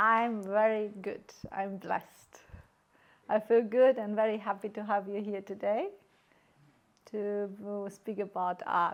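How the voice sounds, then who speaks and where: The delivery is fairly slow, with long, frequent pauses. Intonation stays monotone and flat. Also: woman, medium pitch for a woman. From Germany, Greek family. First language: German and Greek. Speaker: artist. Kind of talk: interview.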